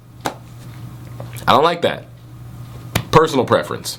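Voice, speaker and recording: An animated male voice. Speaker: manga reviewer, YouTuber. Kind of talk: casual video review.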